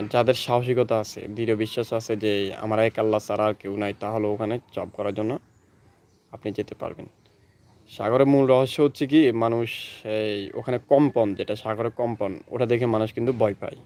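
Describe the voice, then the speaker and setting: A dark, mellow male voice at medium pitch on a very clean recording with a silent background. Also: fairly even intonation. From Bangladesh, Noakhali. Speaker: YouTuber. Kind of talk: casual talk to camera.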